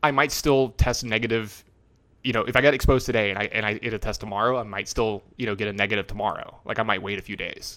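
The man talks at a very fast pace with fairly even intonation. His pitch is medium and his tone is bright and sharp. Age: 30s. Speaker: podcast host, competitive card game player. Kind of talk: casual chat. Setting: lying on a couch, remote recording.

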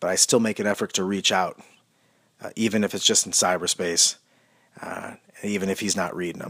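Heard at a moderate pace, the voice comes through in a very clean recording with a silent background. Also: man. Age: 30s. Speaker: monologist. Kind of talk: personal monologue. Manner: halting.

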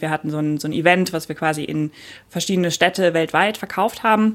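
A woman's unremarkable speaking voice, fairly low in pitch, with ordinary pitch variation. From Germany, Cologne. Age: 20s. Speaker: no-code educator, former product manager. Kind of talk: casual interview.

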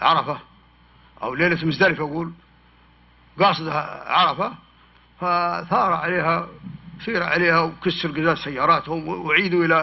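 Talking at a fairly slow pace, a man with a high pitch leaves long, frequent pauses. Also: fairly even intonation. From Hejaz, Saudi Arabia (desert near Khulais). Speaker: historian and author. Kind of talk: public talk with Q&A.

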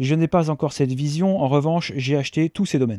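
The recording is very clean with a silent background and a dry, close sound with no echo. A man speaks fairly quickly in a dark, mellow tone with ordinary pitch variation. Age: 40s. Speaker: podcaster and digital strategy consultant. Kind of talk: solo podcast monologue. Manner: halting, many repetitions and fillers.

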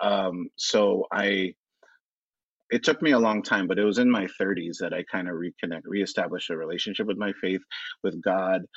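A man with a fairly low pitch, a plain, everyday voice and an American accent speaks at a moderate pace with ordinary pitch variation, in a dry, close sound with no echo against a quiet background. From Los Angeles. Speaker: writer and performer. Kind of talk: casual chat.

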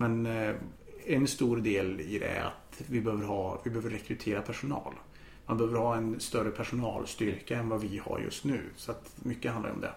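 With audible room echo, a man speaks at a moderate pace, medium pitch and fairly even intonation. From Austria (Vienna) until 7, then Karlstad, Sweden. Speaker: law lecturer. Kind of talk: casual chat. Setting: home, on a sofa.

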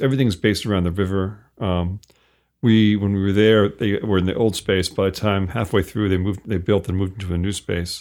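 Speaking in a normal speaking voice with an American accent, a man talks at a fairly quick pace, his fairly low pitch following fairly even intonation. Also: very clean recording, silent background. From US Northeast. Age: 50s. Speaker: author. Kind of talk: casual chat. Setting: studio.

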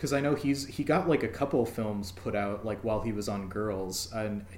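Room echo can be heard around this speaker. He is a man with a fairly low voice. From Minnesota, US Midwest. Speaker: podcast host. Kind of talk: scripted intro; casual chat.

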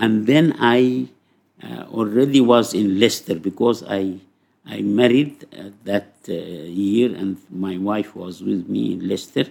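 Speaking at a very slow pace with an Arabic accent, a man uses a fairly low pitch, lively intonation, and big swings in loudness. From Sudan. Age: 80s+. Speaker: psychology professor. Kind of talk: interview. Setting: in person.

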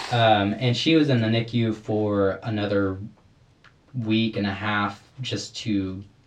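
Very slow speech with fairly even intonation and audible room echo. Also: man, fairly low pitch for a man. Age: 20s. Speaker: window cleaner and church guitarist, host's younger brother. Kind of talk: casual chat; reading aloud.

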